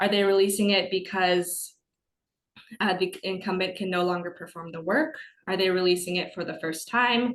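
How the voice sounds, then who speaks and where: This woman speaks fairly quickly at a medium pitch, keeping her intonation fairly even. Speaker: business webinar presenter. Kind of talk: webinar lecture. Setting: online webinar. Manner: fast.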